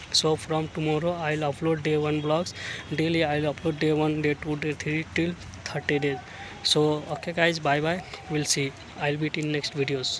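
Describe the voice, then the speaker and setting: A man with a Bihari accent, fairly high in pitch, at a moderate pace, with monotone, flat intonation, over noticeable background noise. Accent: Indian English (Bihari). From Bihar, India. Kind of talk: casual talk to camera. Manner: hesitant, repetitive.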